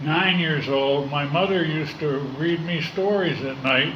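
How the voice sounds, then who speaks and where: A man with an American accent speaks fairly slowly at a fairly high pitch, with ordinary pitch variation. The recording carries audible room echo and noticeable background noise. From US West Coast, Los Angeles. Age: 60s. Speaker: recovering alcoholic AA speaker. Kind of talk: recovery testimony. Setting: in-person meeting room. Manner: halting, many fillers.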